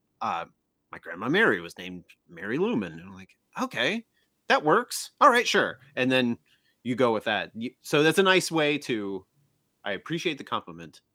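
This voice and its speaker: In a very clean recording with a silent background, a man with an American accent speaks at a moderate pace in a medium pitch, his bright, sharp tone carrying vocal fry, very wide pitch swings, big swings in loudness and long, frequent pauses. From US Midwest, small-town Illinois. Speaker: author and improv comedian. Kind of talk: casual chat.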